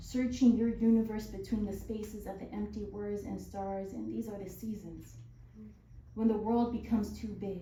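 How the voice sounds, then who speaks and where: Over noticeable background noise, a woman with an American accent speaks with big swings in loudness. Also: moderate pace. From Southern California. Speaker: spoken word poet. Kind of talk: poetry reading.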